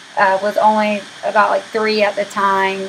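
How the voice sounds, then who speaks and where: Noticeable background noise sits under a voice with an American accent and monotone, flat intonation. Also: woman. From Oklahoma (Madill, small town). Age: 20s. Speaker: university student. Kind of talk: class introduction video. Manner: casual, with fillers.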